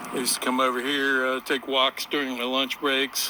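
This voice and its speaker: A man's relaxed, medium-pitched voice, monotone and flat, at a moderate pace over noticeable background noise. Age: 60s. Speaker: retired aircraft mechanic, vlogger. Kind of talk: casual walking vlog narration. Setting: outdoors on a riverwalk. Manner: relaxed, with frequent uh fillers.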